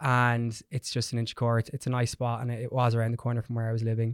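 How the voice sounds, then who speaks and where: A man speaks at a medium pitch with an Irish accent. The recording is very clean, with a silent background and a dry, close sound free of echo. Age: 20s. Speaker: hairdresser and educator. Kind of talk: casual chat. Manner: cocky and perky.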